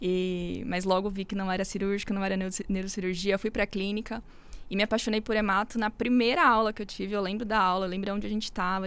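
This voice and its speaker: Over a very clean recording with a silent background, a woman talks very fast in a monotone, flat intonation. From São Paulo, Brazil. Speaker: medical resident, hematology. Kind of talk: casual chat.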